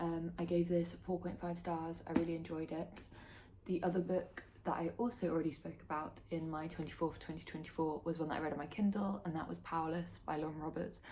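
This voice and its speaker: Quiet and fairly low in pitch, a woman talks at a fairly quick pace with fairly even intonation. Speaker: book vlogger. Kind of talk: casual monologue to camera. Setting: home, filming to camera. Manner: speaking quietly.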